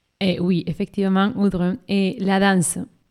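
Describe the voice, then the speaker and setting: With a Spanish accent, a woman with a medium pitch and a dark, mellow tone speaks very slowly in a dry, close recording with no echo. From Colombia, Caribbean region. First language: Spanish (speaking French). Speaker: classical singer. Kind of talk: casual interview. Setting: studio. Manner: halting.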